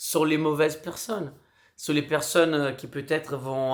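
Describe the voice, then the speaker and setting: Here a man talks at a fairly slow pace. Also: very clean recording, silent background. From Brazil. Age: 40s. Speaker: street clown and performer. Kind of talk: casual vlog.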